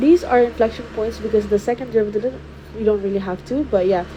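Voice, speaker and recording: Noticeable background noise sits behind this woman. Her pitch is fairly high, with ordinary variation. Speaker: math tutor. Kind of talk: tutorial. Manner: hesitant.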